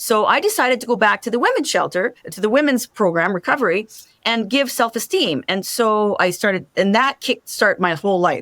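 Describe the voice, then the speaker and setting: Fairly quick and animated, a woman talks in a fairly high voice with lively intonation. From Canada, French-Canadian family. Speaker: truck driver and motivational speaker. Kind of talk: interview.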